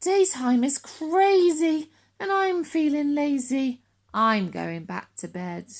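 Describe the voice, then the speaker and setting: Using a put-on character voice, a woman speaks with a high pitch. Her pace is fairly slow. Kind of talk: bedtime story. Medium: read story.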